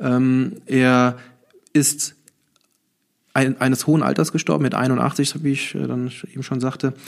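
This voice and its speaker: The speech moves at a very slow pace, broken by long, frequent pauses. Its intonation stays fairly even. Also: man, medium pitch for a man. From Germany, Nassau area (Rhineland-Palatinate). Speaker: civil servant and St. Martin performer. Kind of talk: interview. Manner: hesitant, many fillers.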